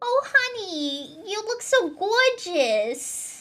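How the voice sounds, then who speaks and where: A woman puts on a character voice in a Brooklyn accent at an extremely high pitch. She talks at a very slow pace with very wide pitch swings over music in the background. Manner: gushing, friendly.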